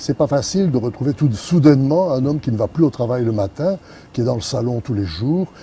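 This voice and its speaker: A man with a medium-pitched, somewhat breathy voice and a dark, mellow tone speaks at a fairly quick pace with lively intonation. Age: 80s+. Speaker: retired businessman. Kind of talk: interview. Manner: hesitant, many fillers.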